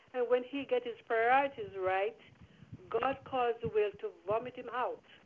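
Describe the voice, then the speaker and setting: This woman's voice sits high in pitch. She talks at a moderate pace. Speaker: prayer line participant. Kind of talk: exhortation and scripture reading. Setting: phone call.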